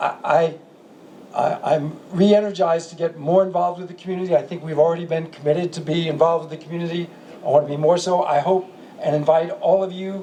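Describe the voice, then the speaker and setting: This high-pitched man talks at a very fast pace, his loudness swinging widely, against noticeable background noise. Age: 70s. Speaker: soccer club owner. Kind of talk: closing remarks. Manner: animated.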